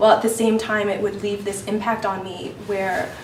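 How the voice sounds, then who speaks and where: A woman speaks with a fairly high pitch. Noticeable background noise and audible room echo are present. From US, raised by adoptive family (born in Peru, left at 3). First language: Spanish (lost in early childhood). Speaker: panel speaker sharing personal experience. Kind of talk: testimony.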